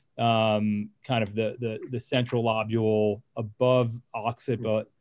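A man speaks against a quiet background. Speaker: neurosurgeon. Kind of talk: case presentation. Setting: video call. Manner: repeats words often. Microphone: webcam.

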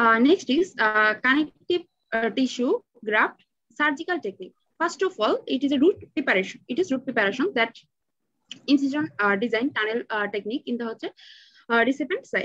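A woman's high voice with very wide pitch swings and a bright, sharp tone, dry with no echo, over a quiet background. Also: moderate pace. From Bangladesh. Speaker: dental student; presenter. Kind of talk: student paper presentation. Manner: halting. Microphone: webcam.

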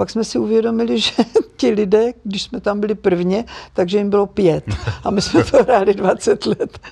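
With vocal fry in her dark, mellow tone, a woman talks at a moderate pace over a quiet background. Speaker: actress and dubbing artist. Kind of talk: interview answer. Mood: warm, reflective, turns sad. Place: studio.

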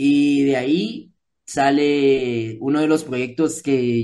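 With a Guatemalan accent, this voice has a dark, mellow tone and fairly even intonation. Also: man. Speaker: musician and music producer; guest. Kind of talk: interview. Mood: relaxed, friendly. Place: home room. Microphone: video call.

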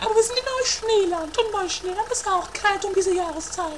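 A woman performs a put-on character voice at an extremely high pitch. Her moderate pace runs over clear background noise. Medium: audio drama.

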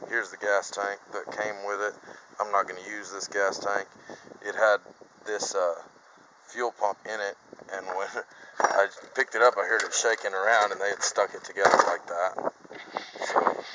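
A man talks at a moderate pace with long, frequent pauses against noticeable background noise. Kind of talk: casual vlog chat. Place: farm machine. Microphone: phone near.

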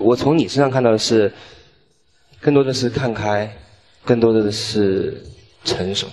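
A man talks at a moderate pace with ordinary pitch variation. Light background noise can be heard. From Xiamen, Fujian. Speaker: male dating show contestant. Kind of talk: dating show conversation. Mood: earnest, regretful. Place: stage. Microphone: handheld.

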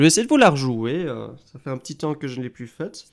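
A man is speaking. He has a slight Belgian accent. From Belgium. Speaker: guitar teacher. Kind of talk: live stream tutorial. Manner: hesitant, many fillers.

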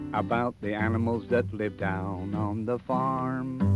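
A man speaks at a very slow pace with ordinary pitch variation. Clear music plays in the background. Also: dry sound with no echo. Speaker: TV presenter. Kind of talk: storytelling to children. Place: farm machine.

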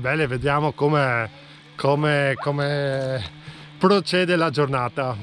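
A man speaking very slowly, dry with no echo, over light background noise. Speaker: hiking vlogger. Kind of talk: casual vlog chat. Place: open country. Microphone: phone near.

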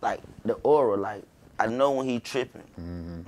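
Here a man is speaking. His pace is fairly quick. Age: 20s. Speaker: rapper; podcast guest. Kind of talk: casual chat. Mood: relaxed, casual storytelling. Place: studio.

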